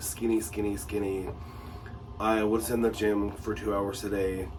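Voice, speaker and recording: The man's pitch is fairly low, and he speaks at a fairly slow pace. Audible room echo surrounds his voice. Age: 40s. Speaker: lifestyle vlogger. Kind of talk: personal vlog monologue. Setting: home bathroom. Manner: halting, many fillers.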